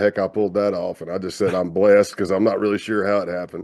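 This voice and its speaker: Quiet background behind a man with a Southern US accent and a fairly low pitch. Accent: Southern drawl. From US South, South Carolina. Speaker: retired FBI undercover agent. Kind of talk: interview conversation. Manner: casual, relaxed.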